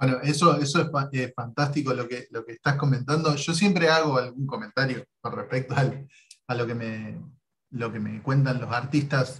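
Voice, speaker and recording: A man speaks with an unremarkable speaking voice at a medium pitch. His pace is moderate and his intonation fairly even. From Argentina. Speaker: YouTube interviewer, comic artist. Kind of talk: casual interview. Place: home room. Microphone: video call.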